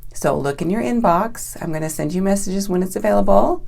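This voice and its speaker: A woman talks in an animated tone at a fairly low pitch. Audible room echo and noticeable background noise surround her. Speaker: raw vegan health coach. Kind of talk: online training video. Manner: fast.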